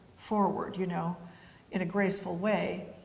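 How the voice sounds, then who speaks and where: A woman's medium-pitched voice at a moderate pace, fairly even intonation, and audible room echo. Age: 70s. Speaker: winery founder and winemaker. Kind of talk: interview. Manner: casual, hesitant with fillers.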